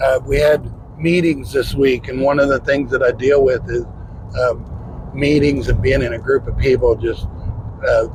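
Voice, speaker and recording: Noticeable background noise accompanies a man with an American accent who talks at a moderate pace with long, frequent pauses. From US Midwest, northeastern Ohio. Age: 60s. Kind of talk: interview testimony.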